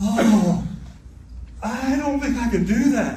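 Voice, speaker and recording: With an American accent, a man talks at a high pitch with fairly even intonation, and audible room echo surrounds his voice. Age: 60s. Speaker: state senator. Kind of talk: political speech.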